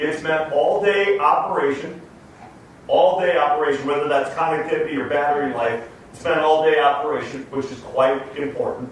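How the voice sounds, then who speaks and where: Over noticeable background noise, a man with a fairly high pitch speaks at a moderate pace with fairly even intonation and big swings in loudness. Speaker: company executive. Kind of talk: interview answer. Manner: punches words loudly.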